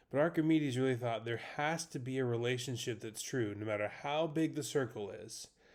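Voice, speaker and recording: This man talks at a fairly quick pace in an unremarkable speaking voice. His pitch is medium, with ordinary variation. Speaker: math teacher. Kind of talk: lecture.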